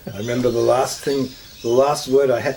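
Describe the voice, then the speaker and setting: A man with an Australian accent, amid audible room echo and noticeable background noise. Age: 60s. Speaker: counsellor. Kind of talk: interview.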